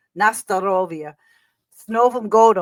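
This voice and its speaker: Heard in a very clean recording with a silent background, a woman speaks with a New York accent. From New York City, Queens. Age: 60s. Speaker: singer and performer. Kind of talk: interview.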